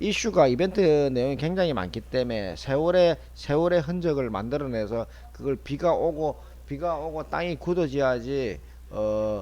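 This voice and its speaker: The speaker has a Busan accent. The intonation is lively. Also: man, fairly high pitch for a man, moderate pace. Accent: Busan dialect (Gyeongsang). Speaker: stock market commentator. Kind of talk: market analysis broadcast. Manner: casual, repetitive.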